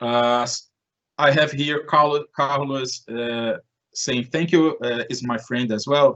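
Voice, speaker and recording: The speaker moves at a very slow pace with ordinary pitch variation. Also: man. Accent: Portuguese. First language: Portuguese. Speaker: conference presenter. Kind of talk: Q&A in online presentation. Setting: online live event. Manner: halting.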